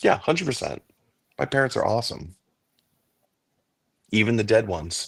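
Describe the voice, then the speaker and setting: Speaking fairly quickly with lively intonation, a medium-pitched man sounds somewhat breathy and leaves long, frequent pauses. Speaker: regular co-host guest. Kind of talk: casual chat. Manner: halting.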